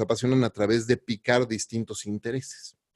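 An ordinary speaking voice moves at a fairly slow pace with fairly even intonation. The sound is dry and close, with no echo. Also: man. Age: 40s. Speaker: podcast host. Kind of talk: interview.

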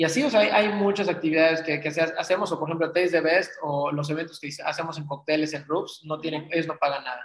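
A man with a normal speaking voice, fairly high-pitched, at a fairly quick pace and with ordinary pitch variation. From Mexico, Cancún. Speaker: magazine publisher and event organizer. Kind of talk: interview conversation.

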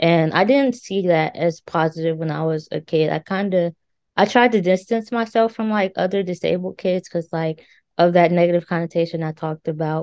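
With an American accent, a woman talks at a moderate pace in an ordinary speaking voice, her fairly low pitch showing ordinary variation. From US, Kentucky. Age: 20s. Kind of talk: casual interview.

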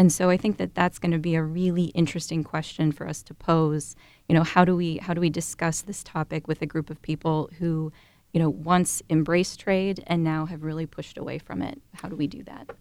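With an American accent, a woman speaks in an unremarkable speaking voice at a fairly low pitch, fairly even intonation and a fairly quick pace, her loudness swinging widely. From Ohio. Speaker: university professor.

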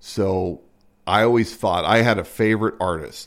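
A silent background on a very clean recording, with speech at a moderate pace and ordinary pitch variation. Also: man. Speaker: podcast co-host. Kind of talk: casual chat. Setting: smoking a cigar while recording.

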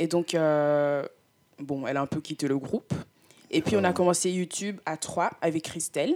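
Recorded dry and close with no echo, a woman with a very deep, low pitch talks at a moderate pace with ordinary pitch variation and long, frequent pauses. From Belgium (Brussels), also lived in Canada and Congo. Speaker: student vlogger. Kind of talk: casual chat.

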